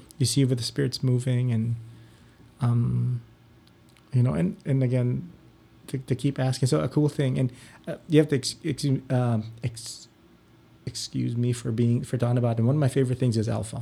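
A man with a dark, mellow, somewhat breathy tone speaks at a medium pitch and a moderate pace with ordinary pitch variation. He takes long, frequent pauses. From Philippines. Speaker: parish religious education director. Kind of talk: interview.

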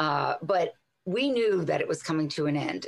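This woman talks at a moderate pace with an American accent. Her pitch sits fairly low and varies in an ordinary way. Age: 50s. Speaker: health radio host and fitness instructor. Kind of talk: casual interview. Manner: animated.

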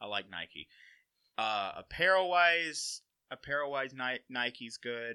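Over a quiet background, a man with an American accent speaks at a fairly slow pace in a bright, sharp tone, the sound dry and close with no echo. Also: medium pitch for a man, lively intonation. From Alabama (Walker County area). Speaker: college sports equipment manager. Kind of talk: casual interview chat.

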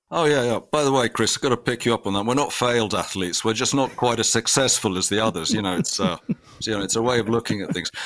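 Very fast and very even in loudness, a man with a British accent speaks at medium pitch with ordinary pitch variation. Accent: British-sounding English. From Finland. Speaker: sports media executive. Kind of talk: interview.

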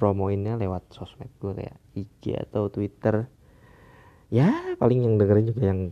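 Fairly slow and fairly low, a man speaks with a dark, mellow tone and fairly even intonation, his loudness swinging widely. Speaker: podcast host. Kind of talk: casual monologue. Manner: halting, many fillers.

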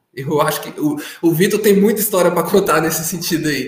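In a room with audible echo, a man speaks with ordinary pitch variation. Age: 20s. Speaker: consecrated community member. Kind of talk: testimony.

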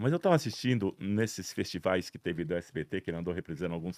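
Speaking very fast with lively intonation, a man comes through on a very clean recording with a silent background. The sound is dry and close with no echo. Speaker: television director. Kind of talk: interview. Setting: studio, streamed live on Instagram. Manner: loud.

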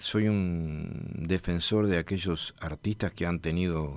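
Over a silent background in a very clean recording, a man speaks with a very deep, low pitch and fairly even intonation. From Uruguay, Florida department. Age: 70s. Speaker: bandoneon player and composer. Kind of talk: interview. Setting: radio studio.

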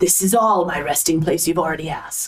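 A woman's put-on character voice, fairly low in pitch, at a fairly quick pace. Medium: actual play. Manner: formal, imperious, possessive; guarded.

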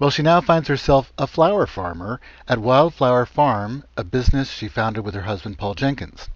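A man's ordinary speaking voice at medium pitch, with lively intonation, a moderate pace and a quiet background. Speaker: radio host. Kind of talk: radio interview. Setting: phone call.

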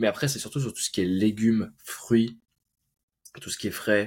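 A somewhat breathy man speaks at a fairly low pitch and a moderate pace with ordinary pitch variation. The recording is very clean, with a silent background. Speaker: podcast host. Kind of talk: casual interview.

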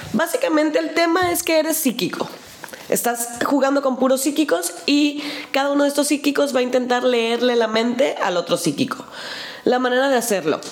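A woman with a Mexican accent, high-pitched and lively in intonation, at a moderate pace with very even loudness over noticeable background noise. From Mexico. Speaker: board game podcast co-host. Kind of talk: casual chat. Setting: video podcast.

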